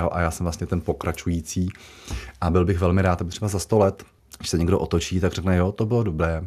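A man with a very deep, low voice speaks with fairly even intonation. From Czechia, Moravia (Jaroměřice nad Rokytnou). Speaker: castle custodian. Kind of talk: radio interview.

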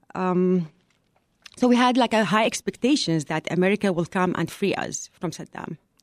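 Someone with an Iraqi accent talks at a moderate pace. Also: woman, medium pitch for a woman, ordinary pitch variation. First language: Arabic. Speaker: refugee advocate at a nonprofit. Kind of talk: interview. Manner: halting.

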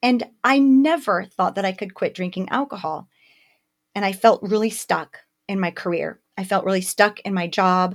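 A woman's medium-pitched, animated voice at a moderate pace, with ordinary pitch variation, on a very clean recording with a silent background. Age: 50s. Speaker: podcast host and mindfulness teacher. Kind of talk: solo podcast monologue.

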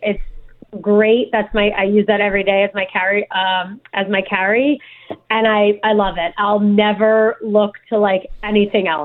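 A woman with a New Jersey accent speaks at a fairly high pitch in a monotone, flat intonation. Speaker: guest, concealed carry permit holder. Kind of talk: interview. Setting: remote call.

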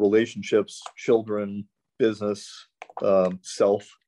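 A man's medium-pitched, dark, mellow voice with a Midwestern American accent, in a dry, close sound with no echo. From US Midwest, St. Louis, Missouri. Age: 50s. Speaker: chiropractor. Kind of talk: casual chat.

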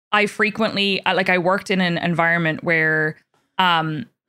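The speaker has a Northern Irish accent, a bright, sharp tone and fairly even intonation. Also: woman. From Northern Ireland, Belfast. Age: 20s. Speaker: podcast host and streamer. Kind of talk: casual chat. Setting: video call.

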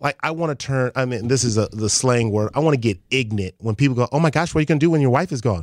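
Speaking at a very fast pace with an American accent, a man has a medium pitch, ordinary pitch variation and an animated tone, in a dry, close sound with no echo and a very clean recording with a silent background. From Los Angeles (Crenshaw), Nigerian household. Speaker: former professional athlete, father of four. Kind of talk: casual chat.

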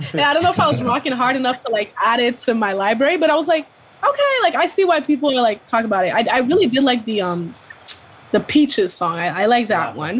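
Over noticeable background noise, a woman talks at a very fast pace in a high pitch, her voice making very wide pitch swings. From Ontario, Canada. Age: 20s. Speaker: podcast co-host. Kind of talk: casual chat.

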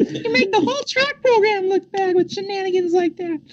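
Squeaky and extremely high-pitched, this put-on character voice moves at a moderate pace. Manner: scolding, reprimanding.

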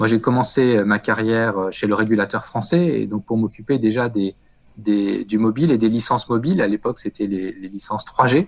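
A man talks in a plain, everyday voice. His pitch is medium, with ordinary variation, and his pace is moderate. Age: 40s. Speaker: telecom executive. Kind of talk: interview.

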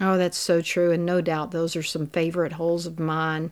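A Southern US accent at a moderate pace, on a very clean recording with a silent background. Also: woman. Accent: Southern American. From US South, Mississippi Delta. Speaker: golfer's wife. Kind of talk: casual chat.

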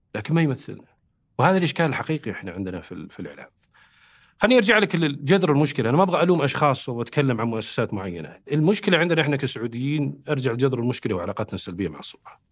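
Very fast and full of vocal fry, a man's voice makes very wide pitch swings and big swings in loudness. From Saudi Arabia. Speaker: government communication expert. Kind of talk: podcast interview. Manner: animated.

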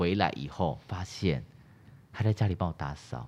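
A man talks at a moderate pace in a plain, everyday voice. His intonation is lively. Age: young. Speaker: actor and YouTuber. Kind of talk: casual chat.

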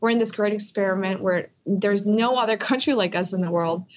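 Against a quiet background, a woman with a normal speaking voice and a medium pitch talks at a moderate pace with ordinary pitch variation. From US, Philadelphia. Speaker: refugee advocacy and policy executive. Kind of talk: interview. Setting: Skype call.

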